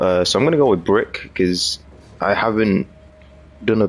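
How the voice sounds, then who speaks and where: A man at a moderate pace. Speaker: gaming streamer. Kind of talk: gameplay commentary. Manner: loud; casual.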